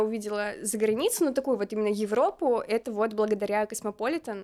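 Speaking at a fairly quick pace, a woman with a fairly high pitch sounds animated, with ordinary pitch variation, on a very clean recording with a silent background. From Kazakhstan. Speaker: dance podcaster, former content moderator. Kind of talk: casual chat.

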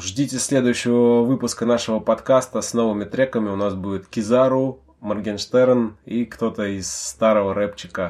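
A man has a plain, everyday voice at a medium pitch. He talks at a moderate pace with fairly even intonation. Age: 30s. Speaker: podcast host, father discussing rap. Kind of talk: casual chat.

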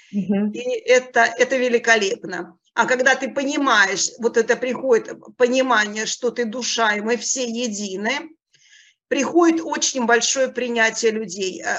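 The speech comes at a fairly slow pace with ordinary pitch variation. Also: woman, high pitch for a woman. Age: 50s. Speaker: coaching school student. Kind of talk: testimony.

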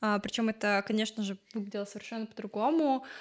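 With a normal speaking voice, a woman talks at a fairly quick pace and a fairly high pitch in a very clean recording with a silent background. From Ukraine, Odesa. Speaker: fashion designer. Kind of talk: interview.

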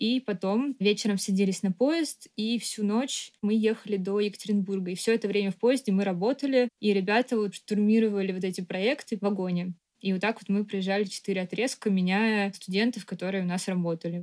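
With an ordinary speaking voice at medium pitch, a woman talks at a fairly quick pace with fairly even intonation and a dry, close sound with no echo. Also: hardly any pauses. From Moscow, Russia. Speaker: architect and artist. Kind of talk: casual chat.

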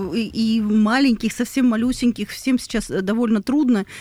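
A woman's fairly high voice, dark and mellow in tone, with fairly even intonation. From Rostov region, southern Russia. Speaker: podcast host, psychotherapist. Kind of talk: casual interview chat.

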